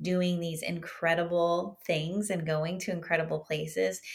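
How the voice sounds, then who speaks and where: Her tone is bright and sharp, her pitch fairly low. The woman speaks with an American accent at a fairly slow pace. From Southern California. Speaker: author. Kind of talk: interview.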